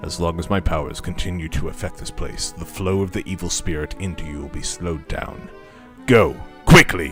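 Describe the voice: Over clear music in the background, a man puts on a character voice with a very deep, low pitch and hissing, speaking at a moderate pace.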